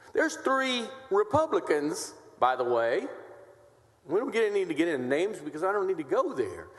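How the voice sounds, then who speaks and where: A man's high-pitched, animated voice with very wide pitch swings at a moderate pace, over noticeable background noise. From Texas, west side of San Antonio. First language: Spanish. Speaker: state senator. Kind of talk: legislative floor debate. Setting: senate chamber.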